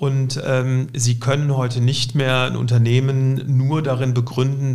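In a room with audible echo, a man speaks fairly slowly at a medium pitch, his voice somewhat breathy and his intonation flat and monotone. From Cologne, Germany. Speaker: insurance company executive. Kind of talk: interview.

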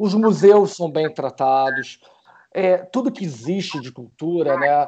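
With lively intonation, this man speaks at a high pitch. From Rio de Janeiro, Brazil. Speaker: film crew professional. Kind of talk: casual chat.

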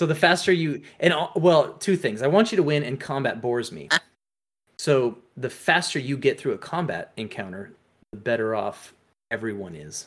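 A man with a fairly high pitch and vocal fry talks at a moderate pace, his pitch swinging very widely and his loudness shifting a lot, on a very clean recording with a silent background. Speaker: tabletop game master and podcaster. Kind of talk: casual chat.

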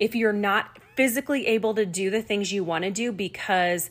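A woman's normal speaking voice, ordinary pitch variation, fairly slow pace, on a very clean recording with a silent background. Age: 40s. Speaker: fitness podcast host, personal trainer. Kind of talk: casual solo talk. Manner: conversational with many filler ums.

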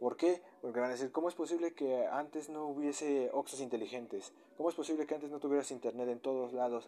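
Talking at a very fast pace with hardly any pauses, a man has a fairly high pitch, a dark, mellow tone and fairly even intonation. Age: 20s. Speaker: podcaster on business topics. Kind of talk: solo educational monologue. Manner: halting, with frequent repetitions and fillers.

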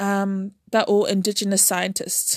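A woman's medium-pitched voice with a New Zealand accent, at a fairly slow pace, in a dry, close sound with no echo. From New Zealand, Auckland. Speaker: podcast host, scientist. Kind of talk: casual monologue. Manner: halting.

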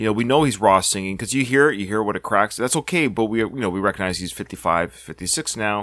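In a plain, everyday voice, a man speaks fairly quickly at a fairly low pitch with ordinary pitch variation. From Canada. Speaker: podcast host. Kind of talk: casual chat.

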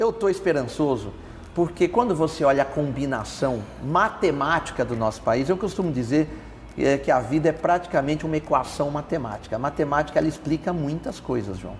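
A man in an ordinary speaking voice, fairly high in pitch, with lively intonation and a fairly quick pace. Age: 40s. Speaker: pharmaceutical industry executive. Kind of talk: interview.

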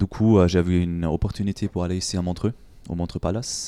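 A man with a very deep, low pitch and a dark, mellow tone talks at a fairly quick pace in a dry, close sound with no echo on a very clean recording with a silent background. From Germany. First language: German (speaking French). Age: 20s. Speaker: fitness coach and gym owner. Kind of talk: interview. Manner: halting.

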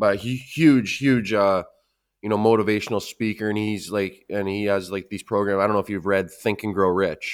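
On a very clean recording with a silent background, a man with a plain, everyday voice and a Canadian accent speaks at a fairly quick pace and a fairly low pitch. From Canada. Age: 30s. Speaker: podcast host. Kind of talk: casual interview chat.

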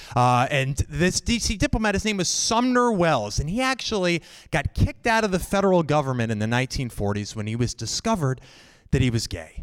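A man with an American accent speaks fairly quickly in a fairly high voice, his pitch swinging very widely. The recording is very clean, with a silent background. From Northern Virginia. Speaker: solo show performer. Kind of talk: live storytelling. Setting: stage with audience.

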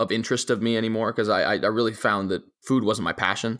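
The speaker is a man with a fairly low pitch. He has a plain, everyday voice. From Italy and Europe, then Southern Arizona from age 14. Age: 20s. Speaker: author and public speaker. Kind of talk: interview.

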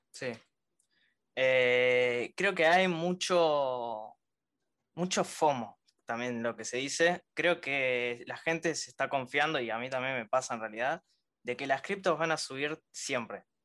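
A man's bright, sharp voice at medium pitch, very slow pace and ordinary pitch variation, over a quiet background. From Venezuela. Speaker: crypto investor, viewer on live stream. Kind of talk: casual chat.

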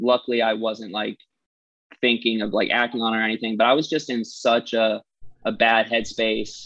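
A man talks in an unremarkable speaking voice with an American accent. His pitch is medium and his intonation fairly even. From Massachusetts, US. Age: 20s. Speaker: musician. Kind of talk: casual interview.

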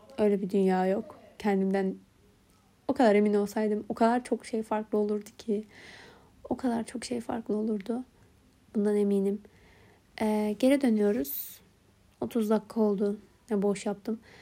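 A woman with a fairly high pitch and a dark, mellow tone talks at a moderate pace with fairly even intonation. Her long, frequent pauses sit in a very clean recording with a silent background. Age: 20s. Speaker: podcaster. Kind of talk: personal monologue. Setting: at home.

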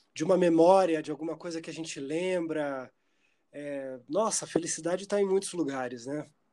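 A man with a dark, mellow tone speaks at a fairly high pitch, with ordinary pitch variation and big swings in loudness. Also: moderate pace. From Curitiba, southern Brazil. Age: 30s. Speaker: musician and theatre performer. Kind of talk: casual interview chat.

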